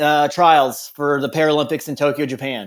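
In a very clean recording with a silent background, a man with an unremarkable speaking voice talks at a moderate pace and fairly high pitch. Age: 30s. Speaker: Paralympic athlete and rancher. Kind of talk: interview testimony.

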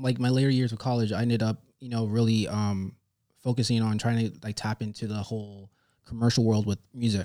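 A man with an American accent and a medium-pitched voice is heard in a very clean recording with a silent background. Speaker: visual artist. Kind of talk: interview. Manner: soft-spoken.

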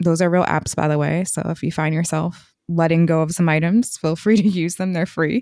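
A woman with a fairly low pitch and a dark, mellow tone talks at a moderate pace with fairly even intonation and hardly any pauses, on a very clean recording with a silent background. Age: 30s. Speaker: podcast co-host. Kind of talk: casual chat.

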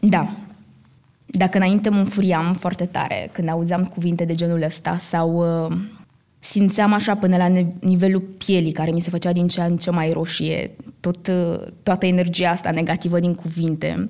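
A woman speaks at a fairly slow pace, her voice fairly low. Her tone is dark and mellow, her intonation flat and monotone. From Romania, Roma community. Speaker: actress. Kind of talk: live stage talk. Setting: stage with audience.

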